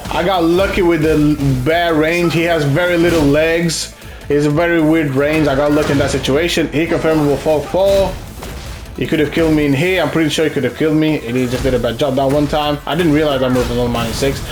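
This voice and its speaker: Over music in the background and audible room echo, a man with a fairly high pitch talks at a fairly quick pace, with fairly even intonation and very even loudness. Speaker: gaming content creator. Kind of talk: gameplay commentary. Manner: fast; casual, halting with repetitions.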